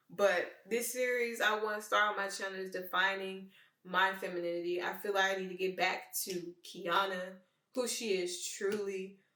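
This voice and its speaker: With a Memphis accent, a woman speaks at a moderate pace and medium pitch with fairly even intonation, amid audible room echo. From Memphis, Tennessee, US South. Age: 20s. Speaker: vlogger. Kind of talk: personal monologue.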